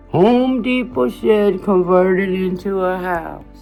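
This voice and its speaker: With music playing behind her, a woman talks in a lively intonation at a medium pitch. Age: 60s. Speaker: YouTuber. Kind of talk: casual home tour to camera.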